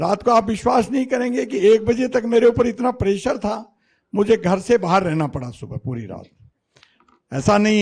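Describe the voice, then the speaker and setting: Lively intonation marks a man's speech. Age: 60s. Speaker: politician. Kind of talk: political speech.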